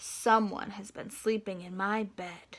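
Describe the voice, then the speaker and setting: A woman's raspy, put-on character voice at medium pitch, fairly slow and monotone. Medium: read story.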